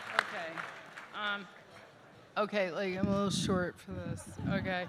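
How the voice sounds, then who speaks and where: A woman talks at a moderate pace in a medium pitch, her intonation flat and monotone. Crowd noise murmurs in the background. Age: 50s. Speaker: event co-chair. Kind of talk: gala speech. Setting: stage with audience.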